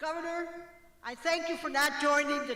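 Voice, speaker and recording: The voice is raised and projected over noticeable background noise. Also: woman. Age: 70s. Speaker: retired health center director. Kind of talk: prepared speech.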